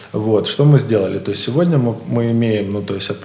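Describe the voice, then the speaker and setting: Male speech with clear room reverberation and obvious background noise. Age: 20s. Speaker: IT company founder. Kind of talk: interview. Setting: studio.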